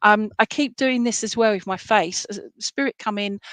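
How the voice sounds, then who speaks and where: With an English accent, a woman speaks at a moderate pace and with fairly even intonation. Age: 50s. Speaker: psychic medium. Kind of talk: live reading to online viewers. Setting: live stream. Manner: hesitant, many fillers.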